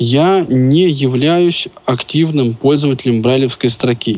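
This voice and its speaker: A man with a medium-pitched voice speaks at a fairly slow pace in a normal speaking voice. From Russia, Moscow. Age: 30s. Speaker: company employee, blind specialist. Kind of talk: interview.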